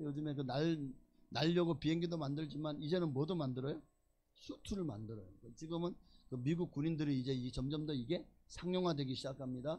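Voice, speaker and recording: A man's fairly high, somewhat breathy voice with a dark, mellow tone, ordinary pitch variation and a fairly quick pace. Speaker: pastor. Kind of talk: sermon. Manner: animated.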